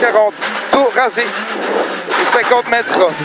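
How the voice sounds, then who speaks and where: The sound is dry with no echo, but loud background noise runs underneath. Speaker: rally co-driver. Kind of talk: rally pace notes read aloud to the driver. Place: car. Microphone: headset.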